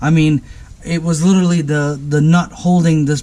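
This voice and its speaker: A man talks at a moderate pace at a fairly high pitch. His tone is dark and mellow and somewhat breathy. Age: 30s. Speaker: auto mechanic video host. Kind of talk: tutorial. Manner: halting; animated.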